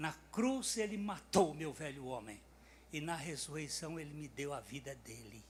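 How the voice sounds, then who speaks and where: A man's fairly high, somewhat breathy voice at a moderate pace, with lively intonation, big swings in loudness, and audible room echo. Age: 80s+. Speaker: preacher. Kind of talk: sermon.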